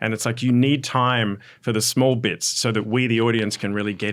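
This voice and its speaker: Recorded very cleanly against a silent background, a man with an Australian accent talks at a fairly quick pace and a fairly low pitch. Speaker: podcast host, script coach. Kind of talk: casual podcast chat.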